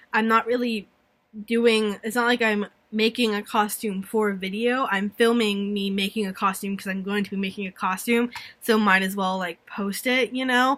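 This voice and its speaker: A woman with a bright, sharp tone speaks at medium pitch in a monotone, flat way. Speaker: vlogger. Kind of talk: casual chat. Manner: rambling fast.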